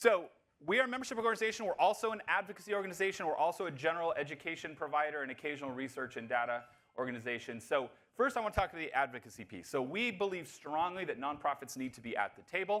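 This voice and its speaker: Very fast, a man talks in a bright, sharp tone with very wide pitch swings and big swings in loudness. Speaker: nonprofit association CEO, keynote speaker. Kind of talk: conference keynote talk. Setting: stage with live audience and interpreters. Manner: animated.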